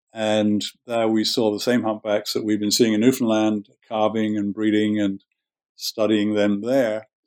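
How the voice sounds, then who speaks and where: Fairly low male voice with a southern English accent, flat monotone delivery, and a fairly slow pace. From southern England. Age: 60s. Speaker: marine scientist and veterinarian. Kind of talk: interview. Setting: remote interview from home.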